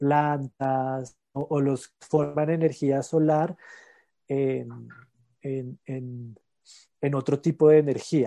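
At a very slow pace with long, frequent pauses, the voice is dark and mellow with monotone, flat intonation, its sound dry and close with no echo over a quiet background. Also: man, fairly high pitch for a man. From Colombia, La Calera near Bogotá. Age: 30s. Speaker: organic farmer. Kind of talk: interview. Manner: hesitant, frequent repetitions.

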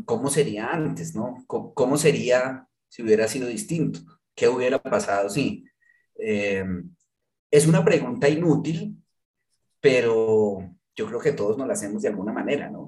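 Vocal fry marks this man's medium-pitched voice, and his intonation is lively. He talks at a fairly slow pace with long, frequent pauses. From Colombia, Manizales. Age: 40s. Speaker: journalist and novelist. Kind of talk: interview conversation. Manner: halting, many repetitions.

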